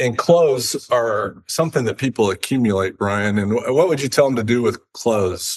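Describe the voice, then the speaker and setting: With a plain, everyday voice, a man speaks at medium pitch and a moderate pace, with ordinary pitch variation and hardly any pauses. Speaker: podcast host. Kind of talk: casual talk to camera.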